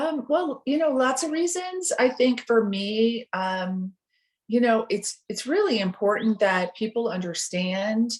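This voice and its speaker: A woman with an American accent speaks at a fairly slow pace. Her fairly high pitch moves in very wide swings. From US Midwest, Chicago. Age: 60s. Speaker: person in recovery. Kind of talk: interview. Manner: hesitant, many fillers.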